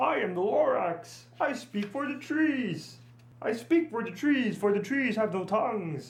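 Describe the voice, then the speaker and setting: This put-on character voice sits fairly high in pitch and moves at a fairly slow pace. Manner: shouting, upset.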